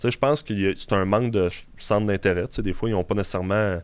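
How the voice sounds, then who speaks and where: A man with a Quebec accent speaks fairly quickly at a fairly low pitch in a very clean recording with a silent background. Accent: Québécois French. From Quebec City. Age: 20s. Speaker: bodybuilder. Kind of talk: interview. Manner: halting.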